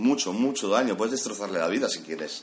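A man speaks while noticeable noise is heard in the background. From Catalonia, Spain (Cubellas, Barcelona). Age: 30s. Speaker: IT technician. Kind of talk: casual interview. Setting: office room full of computers.

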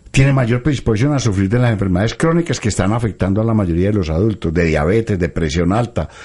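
Somewhat breathy and fairly low-pitched, a man speaks at a very fast pace with lively intonation. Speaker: pediatrician radio host. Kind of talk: live radio health talk.

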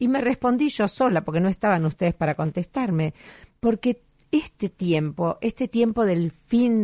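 A woman with a normal speaking voice at medium pitch, lively intonation and a moderate pace, against a quiet background. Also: dry, close sound with no echo. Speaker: radio host. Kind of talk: radio show narration, year-end review.

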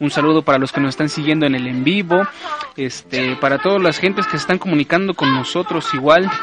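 A man's pitch varies in an ordinary way, with noticeable background noise present. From central Mexico (State of Mexico). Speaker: radio show host. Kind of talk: casual chat. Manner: halting, many fillers.

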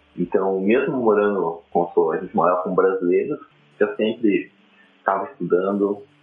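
There is noticeable background noise behind this male speaker. His pace is moderate. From Paraná, Brazil (interior). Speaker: web developer and designer. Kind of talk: casual interview.

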